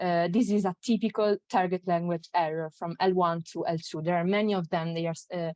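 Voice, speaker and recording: A woman with an Italian accent talks fairly quickly at a fairly low pitch with fairly even intonation, the sound dry and close with no echo. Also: hardly any pauses. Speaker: graduate student presenter. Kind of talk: conference talk. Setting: online conference. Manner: halting, many fillers.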